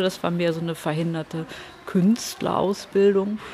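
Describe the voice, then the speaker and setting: Background noise is clearly noticeable. Through it, a woman talks fairly slowly. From Hamburg, northern Germany. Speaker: comic artist. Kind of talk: casual interview.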